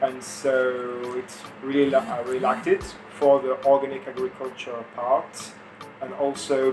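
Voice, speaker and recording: Music plays in the background as a man with a French accent speaks at a medium pitch with fairly even intonation. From France. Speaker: farm volunteer. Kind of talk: interview. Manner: halting.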